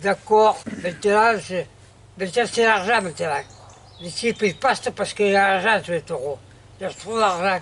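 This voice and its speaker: Here a man speaks with a high pitch and ordinary pitch variation. His pace is moderate, broken by long, frequent pauses. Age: 80s+. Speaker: retired bull-ring razeteur. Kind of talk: interview answer. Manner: casual, chatty.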